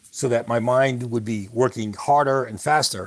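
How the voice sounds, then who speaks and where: A man speaks at a medium pitch with ordinary pitch variation. He has an unremarkable speaking voice and a moderate pace. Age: 60s. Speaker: podcast host, guest on interview show. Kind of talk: interview conversation. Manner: conversational with fillers.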